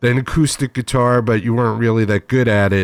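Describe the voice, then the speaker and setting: An ordinary speaking voice from a man, medium in pitch with ordinary pitch variation, at a fairly quick pace, in a very clean recording with a silent background and a dry, close sound with no echo. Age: 60s. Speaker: internet radio show host. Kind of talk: casual interview chat. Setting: home bedroom studio.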